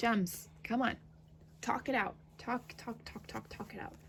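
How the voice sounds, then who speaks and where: Fairly even intonation from a woman speaking at a moderate pace. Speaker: tarot reader. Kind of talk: tarot reading. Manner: hesitant, many fillers.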